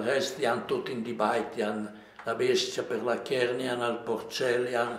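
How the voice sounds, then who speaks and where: Audible room echo surrounds a man speaking in a strong Lombard accent. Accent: strong Livigno dialect. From Livigno, Lombard Alps, northern Italy; Lombardy, Italy. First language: Livignasco dialect (speaking Italian). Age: 80s+. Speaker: elderly local storyteller. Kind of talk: interview reminiscence. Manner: halting, many repetitions.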